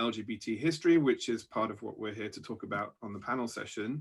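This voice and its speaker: Here a man talks with a British accent in a bright, sharp tone. The background is quiet. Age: 40s. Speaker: science fiction author. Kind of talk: panel discussion.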